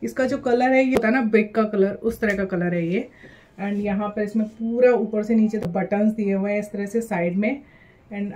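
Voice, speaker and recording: At a moderate pace, a woman speaks in a somewhat breathy voice. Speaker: fashion haul vlogger. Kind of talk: casual vlog chat. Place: home room. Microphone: phone near.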